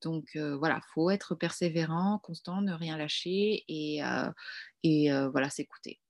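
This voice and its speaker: A fairly slow pace with fairly even intonation. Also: woman, very deep, low pitch for a woman. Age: 20s. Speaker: wedding decorator. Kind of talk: interview. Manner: hesitant.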